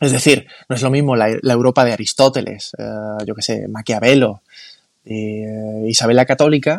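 The sound is dry and close with no echo, and the speech moves at a moderate pace with fairly even intonation. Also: man. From Spain, Málaga. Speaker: founder of a cultural movement. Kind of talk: casual interview.

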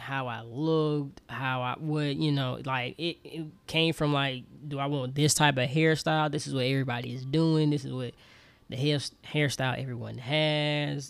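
A man with a normal speaking voice talks at a fairly slow pace, his pitch fairly high and his intonation fairly even. The recording is very clean, with a silent background. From US South, Alabama. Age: 20s. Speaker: podcast host. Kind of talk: personal monologue.

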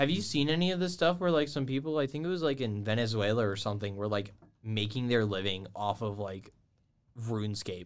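In a very clean recording with a silent background, a man with an ordinary speaking voice and an American accent talks at a fairly quick pace, medium in pitch, with lively intonation. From Georgia, US South. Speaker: college esports podcast host. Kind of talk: casual chat.

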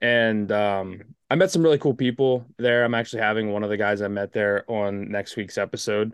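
A man with an American accent and an unremarkable speaking voice, medium pitch and ordinary pitch variation at a moderate pace, in a dry, close sound with no echo and a quiet background. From US East Coast. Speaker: podcast host. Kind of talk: casual chat.

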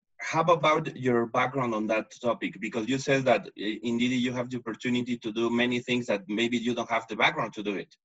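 A man with a Spanish accent talks at a fairly quick pace and medium pitch, with ordinary pitch variation and hardly any pauses. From Mexico. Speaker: podcast host. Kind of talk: casual interview. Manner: halting, repeats words.

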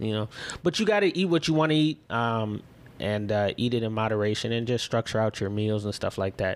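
The speaker has a Chicago accent. The pace is fairly quick. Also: man, medium pitch for a man, ordinary pitch variation. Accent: Chicago-area American. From Illinois, Chicago suburbs. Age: 30s. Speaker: entrepreneur. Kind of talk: casual chat.

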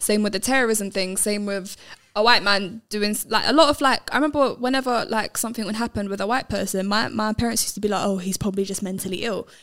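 A woman with a London accent speaks at a very fast pace with hardly any pauses, her fairly high pitch showing ordinary variation. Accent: London English (MLE). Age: young. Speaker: filmmaker and boxing coach. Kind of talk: casual chat.

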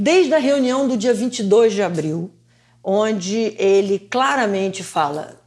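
At a fairly slow pace, a woman of medium pitch speaks in an animated tone with lively intonation. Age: 60s. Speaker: economist and lawyer. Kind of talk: interview.

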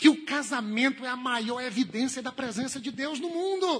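A man's raised, projected voice carries a bright, sharp tone. His intonation is lively. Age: 30s. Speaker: pastor. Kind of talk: sermon.

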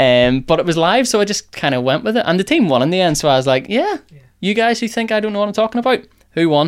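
Very fast and swinging very widely in pitch, a man's high voice comes through on a very clean recording with a silent background. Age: 20s. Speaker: sports podcast host. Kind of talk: casual chat.

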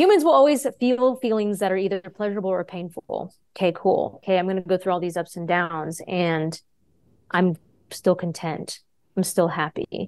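A woman speaks in an American accent with an ordinary speaking voice, medium in pitch and with ordinary pitch variation. Her pace is moderate, and the sound is dry and close with no echo. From Texas. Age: 30s. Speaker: yoga teacher and stand-up comedian. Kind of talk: casual interview.

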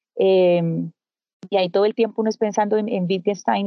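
This is a woman's voice. Her pitch is medium. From Colombia. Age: 50s. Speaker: journalist. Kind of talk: interview conversation. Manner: soft-spoken; calm.

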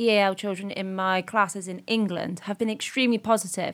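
A woman with an ordinary speaking voice, medium pitch and fairly even intonation, on a very clean recording with a silent background. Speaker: primary teacher, podcast host. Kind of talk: casual discussion podcast.

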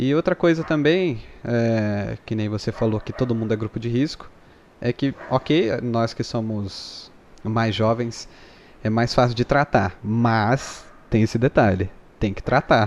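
An ordinary speaking voice from a man, medium in pitch, with ordinary pitch variation and a fairly slow pace. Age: 20s. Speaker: YouTuber and filter creator. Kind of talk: casual chat.

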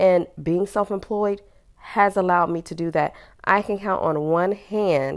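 A woman talks fairly slowly in a fairly low voice with an animated tone. The recording is very clean, with a silent background. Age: 40s. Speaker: podcast host. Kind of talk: casual monologue.

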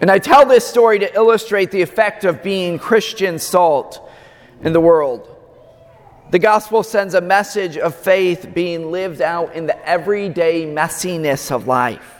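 In an American accent, a man speaks at a fairly slow pace with a high pitch. His pitch varies in an ordinary way, and background noise is noticeable. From US Midwest, Omaha, Nebraska. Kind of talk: sermon. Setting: church.

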